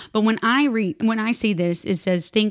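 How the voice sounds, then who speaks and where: A woman talks at a moderate pace with an American accent. She has an unremarkable speaking voice. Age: 30s. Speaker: podcast co-host. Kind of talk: casual chat.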